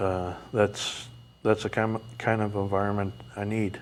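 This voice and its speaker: A man talks at a very slow pace. His voice is fairly low and flat in a monotone. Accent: New England. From New England, outside Vermont. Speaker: mental health advocate. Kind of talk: interview. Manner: halting, many fillers.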